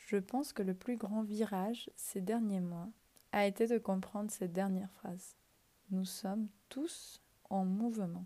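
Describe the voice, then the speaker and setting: At a fairly slow pace, a woman speaks in a medium-pitched, somewhat breathy voice with a dark, mellow tone and fairly even intonation. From Ecuador. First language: Spanish (speaking French). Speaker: podcast host. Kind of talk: reflective monologue. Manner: hesitant at times.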